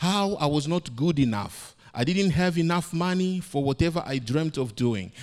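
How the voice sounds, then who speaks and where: With lively intonation, a man speaks at a moderate pace in a high voice on a very clean recording with a silent background. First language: not English. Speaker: preacher. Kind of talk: sermon. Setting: church, speaking to a congregation.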